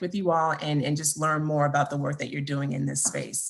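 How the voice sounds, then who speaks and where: At a fairly quick pace, a woman speaks in a very deep, low pitch. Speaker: account manager presenting at webinar. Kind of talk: webinar presentation. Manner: fast.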